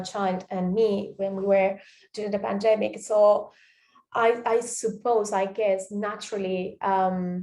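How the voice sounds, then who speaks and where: Captured on a very clean recording with a silent background, a voice with a Spanish accent speaks at a fairly slow pace in a monotone, flat intonation. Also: woman. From Spain, Catalonia (Tarragona). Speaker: podcaster, performance student. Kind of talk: reflective monologue. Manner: hesitant, many fillers.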